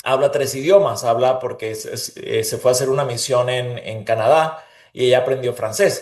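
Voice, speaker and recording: At a moderate pace, a man with a Venezuelan accent speaks in a medium-pitched, somewhat breathy voice. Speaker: leader and interviewee. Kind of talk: interview conversation.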